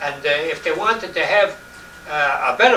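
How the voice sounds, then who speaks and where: Speaking in a New York accent, a man has a high-pitched voice. Audible room echo and noticeable background noise come through. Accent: old New York. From New York City, Lower East Side. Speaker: interviewee recalling his childhood. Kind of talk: oral history interview. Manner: halting, many repetitions.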